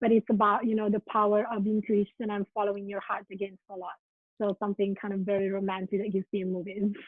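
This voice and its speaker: With an Italian accent, a woman speaks at a very fast pace. Her pitch is medium and her intonation monotone and flat. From Italy. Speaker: writer and spiritual counselor. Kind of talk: podcast interview. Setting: video call.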